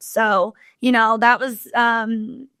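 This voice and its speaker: A woman with a Southern US accent speaks at a fairly high pitch in a bright, sharp tone. The sound is dry and close with no echo, over a quiet background. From Kentucky. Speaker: country singer. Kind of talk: interview answer. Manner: casual, conversational.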